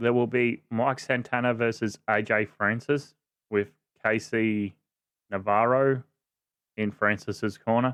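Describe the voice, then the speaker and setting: With an Australian accent, a man speaks at a fairly low pitch and with fairly even intonation, in a dry, close sound with no echo. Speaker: wrestling podcast host. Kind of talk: casual podcast talk.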